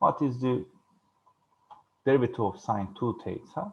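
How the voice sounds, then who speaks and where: A man talks at a moderate pace. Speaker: university lecturer. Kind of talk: lecture. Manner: halting.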